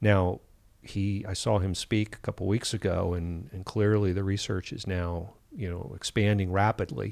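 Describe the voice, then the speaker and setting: Recorded very cleanly against a silent background, a man uses a normal speaking voice at a fairly low pitch, keeping a moderate pace and fairly even intonation. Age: 50s. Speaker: clinical psychologist. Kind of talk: casual interview. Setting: hotel room.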